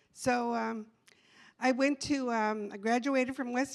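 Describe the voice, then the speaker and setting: A woman's high-pitched voice. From Texas. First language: bilingual English and Spanish. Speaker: trustee candidate. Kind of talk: candidate forum introduction. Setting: public forum.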